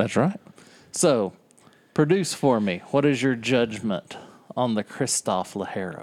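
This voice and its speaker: Using very wide pitch swings around a medium pitch, a man with a Southern US accent speaks at a fairly slow pace with long, frequent pauses. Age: 40s. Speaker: podcast co-host. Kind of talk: casual chat. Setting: back porch, outdoors.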